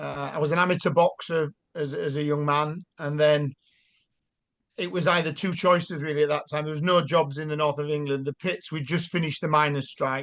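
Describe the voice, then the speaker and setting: Over a quiet background, a man speaks at a fairly quick pace. His fairly high voice is monotone and flat. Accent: Yorkshire. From South Yorkshire. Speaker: army veteran and mayoral candidate. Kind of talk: casual interview.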